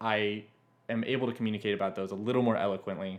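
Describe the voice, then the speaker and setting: Speaking with a normal speaking voice, this man keeps a fairly low pitch and fairly even intonation. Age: 20s. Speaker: podcast co-host, software engineer. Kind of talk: casual chat.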